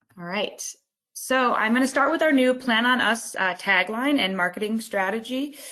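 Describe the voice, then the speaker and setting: In an American accent, a woman with an unremarkable speaking voice talks at a moderate pace, her pitch fairly high with ordinary variation. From US East Coast. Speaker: company partnerships executive. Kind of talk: business presentation. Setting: online webinar.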